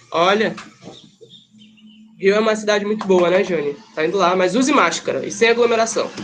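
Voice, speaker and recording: The speech comes at a fairly quick pace with long, frequent pauses over noticeable background noise. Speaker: teacher. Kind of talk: online class review lecture.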